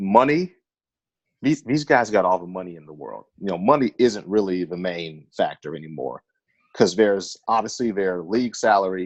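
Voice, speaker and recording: A man with an American accent and a normal speaking voice talks at a moderate pace, with a fairly low pitch, lively intonation and big swings in loudness. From Northern California. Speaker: podcast host. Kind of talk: casual chat.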